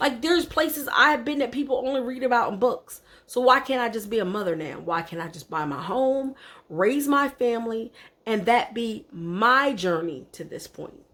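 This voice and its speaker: A woman's high voice, animated in tone, at a moderate pace, with very wide pitch swings and big swings in loudness. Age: 40s. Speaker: vlogger. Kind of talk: casual vlog monologue.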